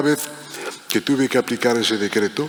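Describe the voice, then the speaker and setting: A man's medium-pitched voice comes through over noticeable background noise. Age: 70s. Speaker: protocol professional, panel moderator. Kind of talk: panel discussion.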